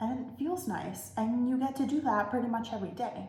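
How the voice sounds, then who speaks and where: A woman speaks with audible echo from the room. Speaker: vlogger. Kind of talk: casual monologue. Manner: loud when excited; casual, filler-heavy.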